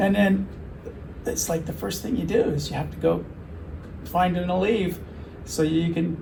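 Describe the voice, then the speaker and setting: With audible room echo and noticeable background noise, a man speaks with long, frequent pauses. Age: 70s. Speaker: patient, general contractor. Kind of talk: interview testimony.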